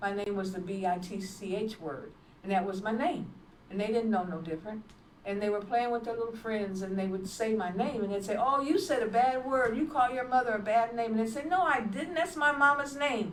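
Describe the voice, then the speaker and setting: A woman's fairly high voice with lively intonation at a fairly quick pace, with audible room echo. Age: 70s. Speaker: evangelist and nurse. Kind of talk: testimony. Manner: halting.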